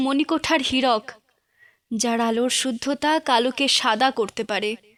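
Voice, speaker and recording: This woman's voice sits high in pitch. The sound is dry and close, without any echo. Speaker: poetry reciter. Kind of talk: poetry reading. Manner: emotional.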